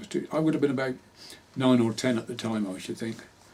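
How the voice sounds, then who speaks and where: A man in a rural Hampshire accent, medium in pitch with ordinary pitch variation, over noticeable background noise. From southern England, Hampshire. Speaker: local history interviewee. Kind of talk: oral history interview.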